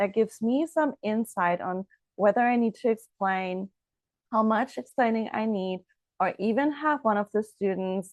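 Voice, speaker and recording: At a moderate pace, a woman with a German accent speaks in a fairly high pitch with ordinary pitch variation, over a quiet background, in a dry, close sound with no echo. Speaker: language teacher. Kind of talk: promotional explainer; tutorial.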